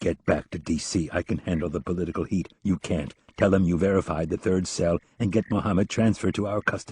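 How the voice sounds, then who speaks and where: Doing a put-on character voice, a man sounds gruff and very deep, going at a very fast pace with fairly even intonation. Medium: read story. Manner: gruff, commanding.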